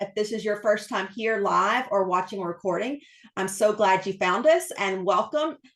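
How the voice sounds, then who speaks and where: Delivered at a moderate pace, the voice moves up and down in pitch in an ordinary way. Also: woman, medium pitch for a woman. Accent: East Texas. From East Texas. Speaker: book channel host, interviewer. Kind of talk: casual interview host talk.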